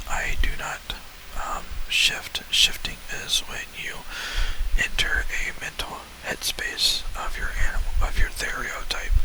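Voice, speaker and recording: Through noticeable background noise, someone can be heard whispering. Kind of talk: ASMR talk. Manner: whispered, soft-spoken.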